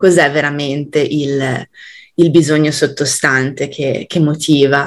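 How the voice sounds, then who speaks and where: Her voice is very deep and low in pitch, this woman speaking in a monotone, flat way. She goes at a very slow pace. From Italy, Genoa. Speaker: communication trainer. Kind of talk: casual interview chat.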